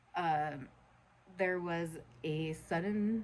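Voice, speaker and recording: Her intonation stays fairly even. The woman's voice sits fairly low. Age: 40s. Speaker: vlogger and nanny. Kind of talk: personal vlog. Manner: halting.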